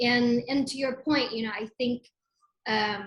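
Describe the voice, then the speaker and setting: Her voice is high in pitch, with a bright, sharp tone, as this woman speaks at a moderate pace. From immigrant. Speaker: footwear designer. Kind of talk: interview.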